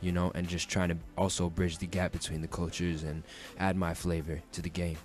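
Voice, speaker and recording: Very deep and low, this man's voice moves at a fairly quick pace in a monotone, flat intonation. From New York. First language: Japanese. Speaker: rapper. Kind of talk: radio interview. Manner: hesitant, many fillers.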